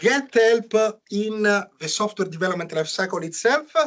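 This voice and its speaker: A man speaks with an Italian accent. His pace is moderate. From Italy. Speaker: software engineer presenter. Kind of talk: technical talk. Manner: hesitant, many fillers.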